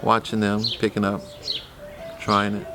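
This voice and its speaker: A man's fairly low-pitched voice in a relaxed tone, with noticeable background noise. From US Midwest, Columbus, Ohio. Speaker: artist and community elder. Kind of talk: interview. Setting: gallery. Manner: relaxed, hesitant with many fillers.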